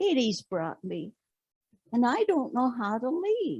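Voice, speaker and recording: Putting on a character voice, the female-sounding speaker goes at a fairly slow pace, pitched high with very wide pitch swings. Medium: stage play.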